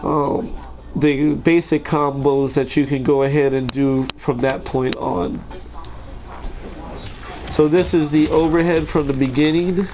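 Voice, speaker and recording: A man with a fairly high pitch talks at a fairly slow pace, his intonation fairly even. Long, frequent pauses break up his speech, and there is noticeable background noise. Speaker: gaming tutorial creator. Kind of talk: game tutorial commentary. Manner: casual, hesitant with fillers.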